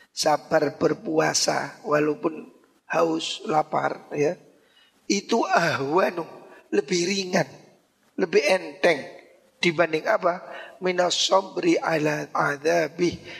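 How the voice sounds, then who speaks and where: Very slow, high-pitched man's speech with ordinary pitch variation and long, frequent pauses. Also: very even loudness. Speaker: Islamic cleric teaching a classical text. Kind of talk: religious lecture.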